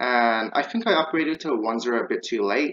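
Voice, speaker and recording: This man has an unremarkable speaking voice at a medium pitch, delivered at a moderate pace. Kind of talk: gameplay commentary.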